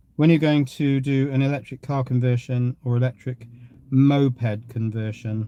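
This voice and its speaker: In a dry, close recording with no echo, a man with an English accent speaks at a moderate pace in a dark, mellow, monotone voice of medium pitch. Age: 60s. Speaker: live streamer. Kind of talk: casual chat.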